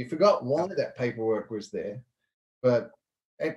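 Somewhat breathy, a man talks with a New Zealand accent. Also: quiet background. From western New Zealand. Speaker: entrepreneur; guest. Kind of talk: casual interview chat. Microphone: video call.

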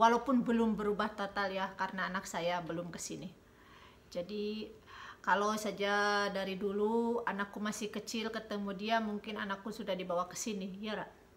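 In a flat monotone, a woman talks at a moderate pace. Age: 40s. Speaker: YouTuber; couple vlogger. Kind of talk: casual chat. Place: home room. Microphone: phone near.

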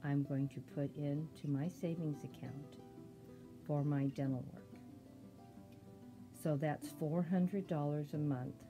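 A woman speaks with a very deep, low pitch, leaving long, frequent pauses. Music plays in the background. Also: fairly even intonation, fairly slow pace. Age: 70s. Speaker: savings vlogger. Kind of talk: casual talk to camera.

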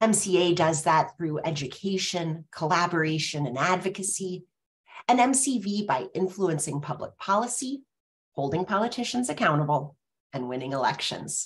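A somewhat breathy woman with a fairly low voice talks at a moderate pace, her pitch swinging very widely. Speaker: webinar host. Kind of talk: webinar moderation. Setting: video call. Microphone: webcam.

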